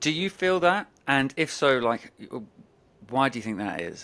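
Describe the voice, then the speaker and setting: The speaker has a London accent. The intonation is lively. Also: man. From England, London. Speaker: podcast host. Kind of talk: podcast interview.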